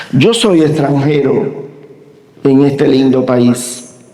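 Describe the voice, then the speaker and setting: A man speaks amid noticeable background noise. The room echo is audible. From Cuba. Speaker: university professor. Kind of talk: lecture.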